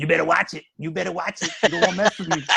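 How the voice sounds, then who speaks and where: A man's raspy, high-pitched put-on character voice at a very fast pace. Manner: tough, warning.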